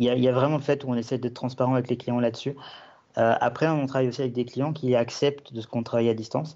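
At a very fast pace, a man speaks with very even loudness and a medium pitch. His intonation stays monotone and flat. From Belgium. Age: 20s. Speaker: web and app developer. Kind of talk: podcast interview. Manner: halting, many fillers and repetitions.

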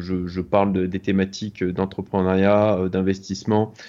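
Fairly low-pitched and dark, mellow in tone, a man speaks fairly slowly with fairly even intonation. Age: 40s. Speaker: business angel investor. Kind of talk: interview. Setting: video call. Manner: hesitant, many fillers.

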